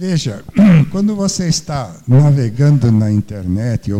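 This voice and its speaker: A man talks at a very slow pace in a dark, mellow tone. His intonation is lively. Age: old. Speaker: retired engineer, volunteer computer teacher. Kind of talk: panel discussion. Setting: stage with audience. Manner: halting, repeats words.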